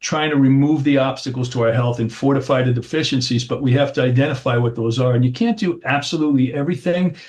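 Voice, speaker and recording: A man's somewhat breathy voice rushes along at a very fast pace with hardly any pauses and fairly even intonation. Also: medium pitch for a man. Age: 60s. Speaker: chiropractor. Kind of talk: interview.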